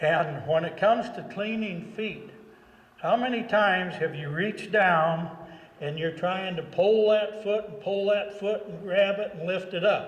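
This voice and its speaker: Through noticeable background noise and audible room echo, a man speaks fairly slowly at a high pitch with fairly even intonation and big swings in loudness. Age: 60s. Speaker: horse trainer. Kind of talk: tutorial. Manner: conversational.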